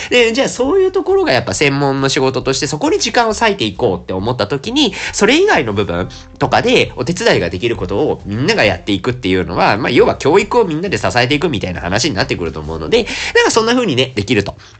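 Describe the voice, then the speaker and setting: Music plays in the background while someone talks at a very fast pace. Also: man. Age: 30s. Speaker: podcast host. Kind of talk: solo casual monologue while drinking. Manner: casual, chatty with fillers.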